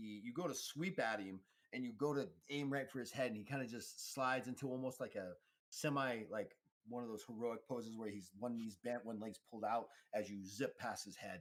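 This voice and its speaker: A man talks at a fairly quick pace in a normal speaking voice. His pitch is medium, with ordinary pitch variation. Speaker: game master running a tabletop roleplaying game. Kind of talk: tabletop game narration and rules explanation.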